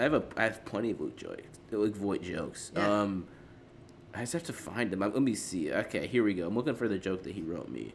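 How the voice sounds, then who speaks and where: Fairly quick pace and ordinary pitch variation in an unremarkable speaking voice. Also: man, fairly low pitch for a man. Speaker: comedy podcast host. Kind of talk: stand-up style roast comedy, insult jokes on a podcast.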